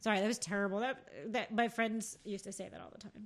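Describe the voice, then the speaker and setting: Here a woman speaks at a medium pitch. Her pace is very fast. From New Jersey (Rockaway Township, Morris County). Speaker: podcast co-host. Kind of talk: casual chat.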